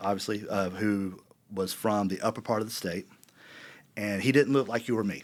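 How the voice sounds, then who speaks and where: With a South Carolina accent, a man talks in fairly even intonation. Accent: South Carolina Southern US. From US South, South Carolina (West Columbia). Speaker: university board chairman. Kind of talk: interview conversation. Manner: halting, many fillers and repeats.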